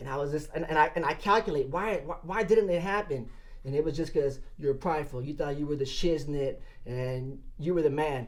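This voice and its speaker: A man with an American accent and a plain, everyday voice, fairly quick, with ordinary pitch variation. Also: fairly high pitch for a man. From Southern California, Los Angeles area. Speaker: sportfishing captain. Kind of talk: casual interview.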